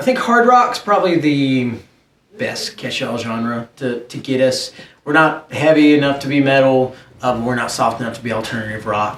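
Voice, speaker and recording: Spoken at a moderate pace with a Southern US accent. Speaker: rock band singer. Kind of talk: interview. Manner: casual, conversational.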